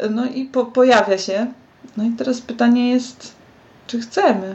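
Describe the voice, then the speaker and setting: This woman takes her time, speaking rather slowly. The rise and fall of her pitch is typical. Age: 30s. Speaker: graphic designer. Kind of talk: casual chat.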